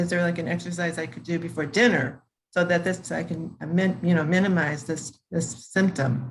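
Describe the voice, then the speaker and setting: A somewhat breathy voice at a moderate pace with ordinary pitch variation. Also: woman. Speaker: participant with Parkinson's asking a question. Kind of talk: question in online class Q&A. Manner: slurred speech at times; halting.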